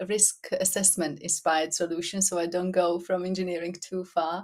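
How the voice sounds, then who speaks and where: Monotone and flat, a woman with a Slovak accent speaks at a fairly low pitch. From Slovakia. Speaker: business owner. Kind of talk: casual interview.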